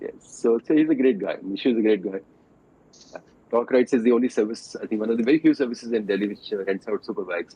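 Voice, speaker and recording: A man talks at a very fast clip. His pitch varies in an ordinary way. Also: medium pitch for a man. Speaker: doctor and motorcycle enthusiast. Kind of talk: podcast interview. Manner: halting.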